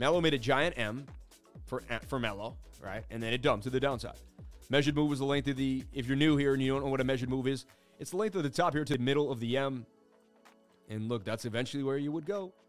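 A man talks at a very fast pace, with ordinary pitch variation and long, frequent pauses. Music plays in the background. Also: medium pitch for a man. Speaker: crypto livestream host. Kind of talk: casual, chart-analysis commentary. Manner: fast talker.

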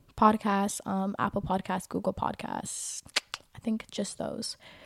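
A woman talks in a normal speaking voice. Her pitch is fairly high and her pace moderate. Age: 20s. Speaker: podcast host. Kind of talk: casual solo chat. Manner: casual, with many filler words.

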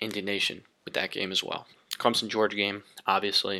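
Flat, monotone intonation in a bright, sharp tone with an American accent. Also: man. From US Northeast, Long Island, New York. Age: 20s. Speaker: podcast host. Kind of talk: solo sports commentary podcast.

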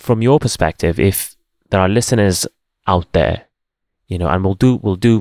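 Recorded very cleanly against a silent background, a man with a non-native accent speaks with ordinary pitch variation in a dry, close sound with no echo. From born outside the UK. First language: not English. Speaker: podcast host. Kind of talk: casual interview chat.

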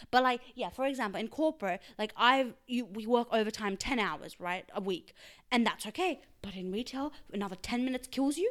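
A woman's high, animated voice with lively intonation at a fairly quick pace, on a very clean recording with a silent background. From Australia. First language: Urdu. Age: 20s. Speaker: podcast co-host. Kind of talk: casual chat.

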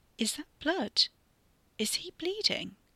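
A put-on character voice with a bright, sharp tone goes slowly through big pitch swings, the sound dry and close with no echo.

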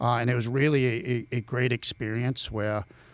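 A man with a Boston accent speaks at a moderate pace, his intonation fairly even. The recording is very clean, with a silent background. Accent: Boston accent, still present despite efforts. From Boston area (Billerica, Massachusetts). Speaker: criminal law professor and navy veteran. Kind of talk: casual interview. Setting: podcast studio.

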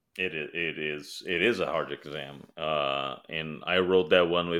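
Against a quiet background, a man with a Portuguese accent talks at a fairly slow pace. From Brazil. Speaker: security author and technologist. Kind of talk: casual chat.

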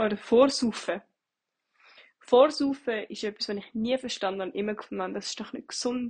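A woman's somewhat breathy, fairly high voice at a moderate pace, with ordinary pitch variation, big swings in loudness, and long, frequent pauses. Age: 20s. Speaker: bartender, podcaster. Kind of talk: solo monologue podcast. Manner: casual, hesitant.

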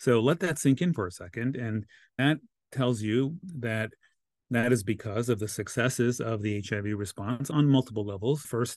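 The background is quiet as a man talks at a fairly quick pace. His pitch is medium, with ordinary pitch variation. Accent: American. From Los Angeles, US. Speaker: congressional candidate. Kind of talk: interview.

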